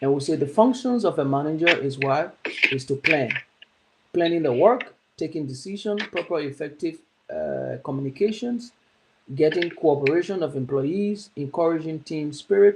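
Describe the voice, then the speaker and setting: A man's normal speaking voice, fairly high in pitch, with lively intonation and a moderate pace. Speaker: teacher. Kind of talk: lecture.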